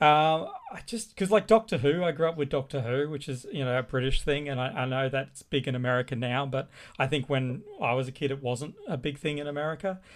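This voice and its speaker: At a fairly quick pace, a man with an Australian accent speaks in a fairly high pitch with ordinary pitch variation. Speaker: artist and illustrator. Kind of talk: casual chat.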